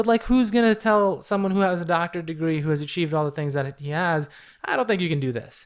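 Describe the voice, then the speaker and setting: With an American accent, a high-pitched man talks at a very fast pace with lively intonation on a very clean recording with a silent background. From New York City. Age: 30s. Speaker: social work professor, model and actor. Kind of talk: casual interview.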